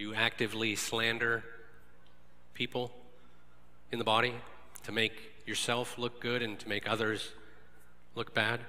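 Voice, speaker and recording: Room echo and noticeable background noise surround a man speaking at a moderate pace. His intonation stays flat and monotone, broken by long, frequent pauses. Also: medium pitch for a man. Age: 40s. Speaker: lay preacher. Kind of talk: sermon.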